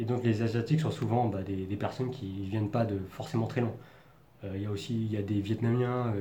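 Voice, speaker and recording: At a medium pitch and moderate pace, a man talks with fairly even intonation. There is audible room echo and noticeable background noise. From Paris region, France. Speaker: vlogger. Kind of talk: personal monologue.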